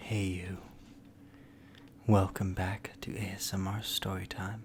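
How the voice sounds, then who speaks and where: A soft-spoken, somewhat breathy man with fairly low pitch, monotone, flat intonation, and a fairly slow pace. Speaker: storyteller. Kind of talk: ASMR intro talk to listener.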